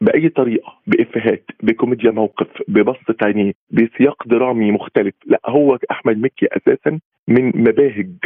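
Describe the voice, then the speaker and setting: A man speaks in an unremarkable speaking voice at a medium pitch. His pace is fairly slow and his pitch variation ordinary. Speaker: art critic. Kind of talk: remote interview.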